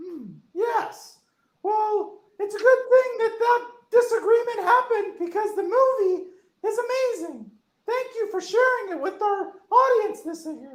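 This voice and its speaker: This is a cartoonish character voice at an extremely high pitch. The pace is moderate. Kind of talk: puppet interview host.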